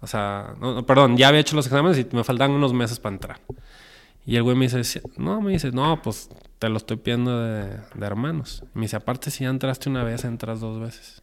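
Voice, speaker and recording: A man talks at a fairly quick pace with a Mexican accent. His pitch is medium, with ordinary variation. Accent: Mexican Spanish (Jalisco). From Mexico, Guadalajara. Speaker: film director and producer. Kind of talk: interview. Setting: recording venue. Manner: animated.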